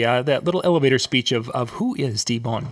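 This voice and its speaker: With a Minnesota accent, a man talks at a very fast pace over noticeable background noise. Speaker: show host. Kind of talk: interview.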